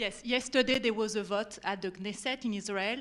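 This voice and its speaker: At a moderate pace, a woman with a French accent speaks in a fairly high pitch with fairly even intonation. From France.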